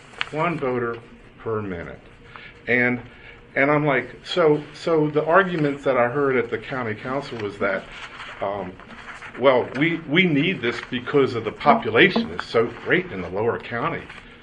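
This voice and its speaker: With noticeable background noise, a man with an American accent talks at a moderate pace and medium pitch, his intonation lively. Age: 60s. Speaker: public commenter at election board meeting. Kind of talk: public comment testimony. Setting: public board meeting. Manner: halting, with repetitions.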